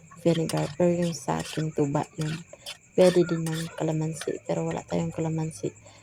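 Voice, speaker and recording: A woman speaks at a fairly slow pace while noticeable background noise carries on behind her. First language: Cebuano/Bisaya (speaking Tagalog). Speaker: cooking vlogger. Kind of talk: cooking tutorial. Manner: halting, hesitant; casual, chatty.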